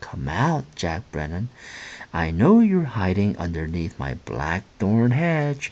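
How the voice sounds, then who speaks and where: A man talks in a put-on character voice with a very deep, low pitch. His pace is fairly slow. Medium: read story. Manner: stern.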